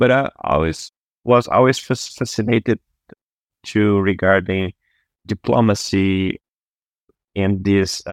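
With a Brazilian accent, a man speaks in a fairly low pitch at a fairly slow pace, pausing long and often, with fairly even intonation. The sound is dry and close with no echo, on a very clean recording with a silent background. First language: Portuguese. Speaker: surgeon. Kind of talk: interview conversation.

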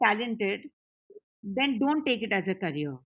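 This woman's voice sits at a fairly high pitch. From Punjab, India. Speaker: music company CEO. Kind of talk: casual chat.

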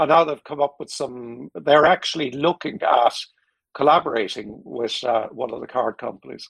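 A man's fairly high voice with vocal fry in an Irish accent, moderate in pace with ordinary pitch variation. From Ireland. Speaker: technology executive and board advisor. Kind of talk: casual interview. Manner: halting, repeats words.

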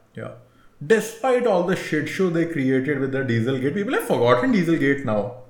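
Over noticeable background noise and audible room echo, a man with a fairly high pitch speaks at a fairly quick pace with very wide pitch swings. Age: 30s. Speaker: motoring podcast co-host. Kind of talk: casual chat.

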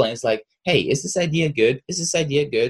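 Speaking at a very fast pace, a man uses a somewhat breathy voice with ordinary pitch variation. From Russia. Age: 20s. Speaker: content creator. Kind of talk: interview.

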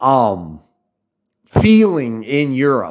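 Against a quiet background, a man with an American accent speaks with very wide pitch swings. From United States. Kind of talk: monologue. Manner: halting.

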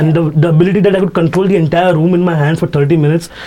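An animated man with a Mumbai accent at a very fast pace, amid noticeable background noise. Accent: Indian English, Mumbai. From Mumbai, India. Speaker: stand-up comedian. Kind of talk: casual chat, interview. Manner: fast talker, animated; candid, ranting, profane.

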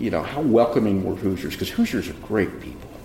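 Noticeable background noise sits behind a man speaking at a fairly low pitch in an American accent. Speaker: mayor and show host. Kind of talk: interview.

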